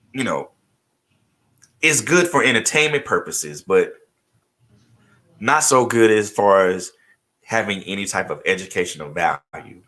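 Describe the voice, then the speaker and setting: A man with a bright, sharp tone and vocal fry swings his pitch very widely. His pace is moderate, broken by long, frequent pauses. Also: medium pitch for a man. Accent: American. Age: 40s. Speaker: radio host. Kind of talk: interview.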